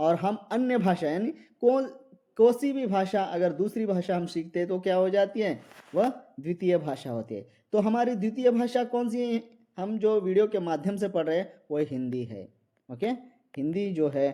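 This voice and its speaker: A high-pitched man's voice in a dark, mellow tone, with very wide pitch swings. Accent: Marathi. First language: Marathi (speaking Hindi). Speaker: Hindi exam-prep teacher. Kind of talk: lecture. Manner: repetitive, with many fillers.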